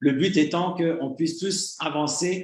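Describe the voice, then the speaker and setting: A man talks at a very slow pace with a fairly high pitch. His intonation is fairly even. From Canada. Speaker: communications director of an investment scheme. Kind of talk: online presentation to members. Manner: hesitant, many fillers; formal.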